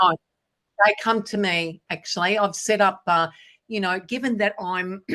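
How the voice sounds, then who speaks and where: Against a quiet background, a woman with an Australian accent speaks at medium pitch and a moderate pace in a bright, sharp tone, with fairly even intonation and long, frequent pauses. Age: 60s. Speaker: business speaker. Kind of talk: Q&A talk.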